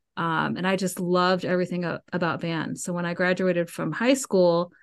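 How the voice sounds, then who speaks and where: Against a quiet background, a woman with a normal speaking voice and an American accent talks at a moderate pace and medium pitch. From US South, Georgia (Cobb County near Atlanta). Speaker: music professor and band conductor. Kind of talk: casual interview.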